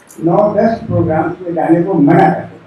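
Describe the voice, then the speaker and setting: A man speaks with fairly even intonation. Noticeable background noise sits behind him. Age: 80s+. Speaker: poet. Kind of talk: speech at a literary event.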